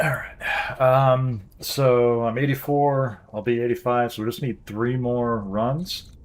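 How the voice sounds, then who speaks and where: Over noticeable background noise, a man speaks at a very slow pace with hardly any pauses and ordinary pitch variation. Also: medium pitch for a man. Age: 40s. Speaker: gaming streamer. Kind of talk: casual live-stream gameplay chat.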